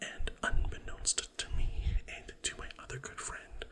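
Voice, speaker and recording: Over noticeable background noise, a man whispers at a fairly slow pace. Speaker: ASMR and podcast creator. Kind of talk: ASMR storytime. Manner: whispered, soft.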